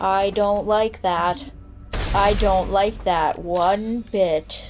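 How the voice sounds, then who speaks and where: Over clear background noise, a woman puts on a character voice at medium pitch, speaking at a very slow pace in a deadpan tone. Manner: deadpan, flat.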